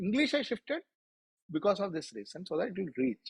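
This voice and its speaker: A man talks with an Indian accent. The sound is dry and close, with no echo. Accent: Indian accent, kids correct it. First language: Malayalam. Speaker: author. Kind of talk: interview.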